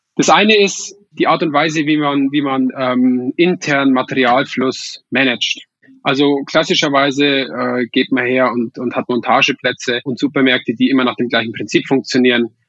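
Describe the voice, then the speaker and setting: This man speaks at medium pitch with fairly even intonation. His pace is moderate, with hardly any pauses. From Upper Palatinate, Bavaria (Weiden). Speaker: startup founder, engineer. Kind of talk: podcast interview. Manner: frequent hesitations and repetitions.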